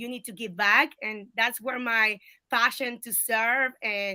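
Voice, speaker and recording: With a Colombian accent, a woman talks at a fairly slow pace in a fairly high-pitched voice with a bright, sharp tone. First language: Spanish. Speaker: political candidate. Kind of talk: interview. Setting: video call.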